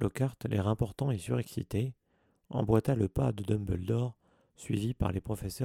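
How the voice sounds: Ordinary pitch variation in a natural reading voice, set against a quiet background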